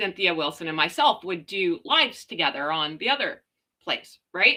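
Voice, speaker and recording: A woman with a Canadian accent speaks loudly at a fairly slow pace, her tone bright and sharp. The recording is very clean, with a silent background. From Canada. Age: 40s. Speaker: live streamer. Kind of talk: casual chat.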